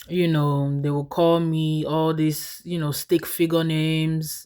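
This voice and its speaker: A woman with an American accent speaks fairly slowly at a very deep, low pitch. The recording is very clean, with a silent background. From Nigeria. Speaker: vlogger. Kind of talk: casual storytelling vlog.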